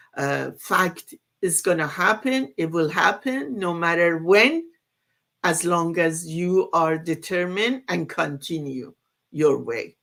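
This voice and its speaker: A woman with a non-native accent and fairly low pitch, at a very slow pace. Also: ordinary pitch variation. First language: not English. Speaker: online business community member. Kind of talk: casual group discussion. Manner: halting.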